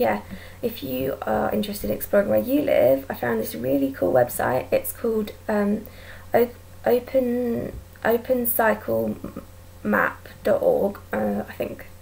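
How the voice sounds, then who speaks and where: Speaking at a fairly slow pace, a woman talks with an English accent. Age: 20s. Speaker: vlogger. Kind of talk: casual chat. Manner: hesitant, many ums.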